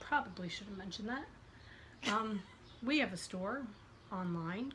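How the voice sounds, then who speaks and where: A woman with a medium pitch and a fairly slow pace, amid noticeable background noise and audible room echo. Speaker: podcast host. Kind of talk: casual chat.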